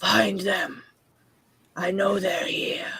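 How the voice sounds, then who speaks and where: This put-on character voice growls at a middle pitch with a raspy texture. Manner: menacing, hunting.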